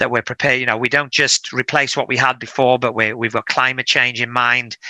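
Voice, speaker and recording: Fairly quick and bright, sharp in tone, a man talks at a medium pitch with a dry, close sound and no echo. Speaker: council chief executive. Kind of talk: interview. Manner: many hesitations and repeated words.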